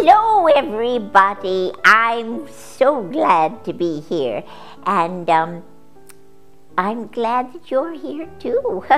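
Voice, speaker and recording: A female-sounding, cartoonish character voice speaks at a fairly high pitch and a very slow pace. Clear music plays in the background. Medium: puppet. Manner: hesitant, grumpy.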